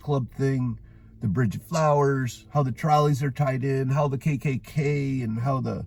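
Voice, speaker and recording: This man has a medium-pitched, somewhat breathy voice with an American accent, ordinary pitch variation and a fairly slow pace. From western New York (Orchard Park, near Buffalo). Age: 50s. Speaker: vlogger. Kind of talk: casual monologue. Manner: animated; rambling with filler words.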